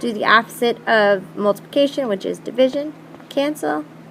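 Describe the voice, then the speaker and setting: The intonation is lively and the pace moderate. Noticeable background noise runs underneath. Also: woman. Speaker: math teacher. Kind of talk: tutorial.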